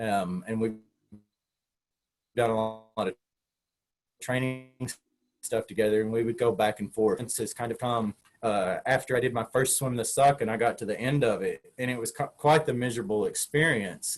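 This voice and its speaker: At medium pitch and a moderate pace, a man talks with fairly even intonation, broken by long, frequent pauses. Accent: Southern US. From Tennessee. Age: 40s. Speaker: open water marathon swimmer. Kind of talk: interview answer. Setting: online video call. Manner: casual, conversational.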